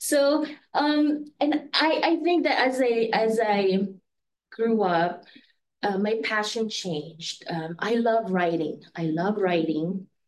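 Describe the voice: Slowly and with ordinary pitch variation, a woman speaks in a room with audible echo. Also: medium pitch for a woman.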